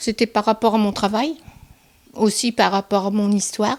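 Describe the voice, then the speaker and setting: The recording sounds dry and close, without any echo. A woman is the one talking. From northern France, Somme (Picardy). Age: 60s. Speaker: retired office worker, interviewee. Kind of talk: interview testimony. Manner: hesitant, many fillers.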